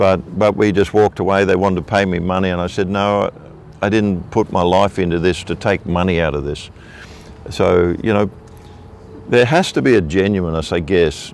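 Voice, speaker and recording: With an Australian accent, a man speaks in a very deep, low voice at a moderate pace and fairly even intonation, over noticeable background noise. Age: 60s. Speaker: evangelist preacher. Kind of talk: interview testimony.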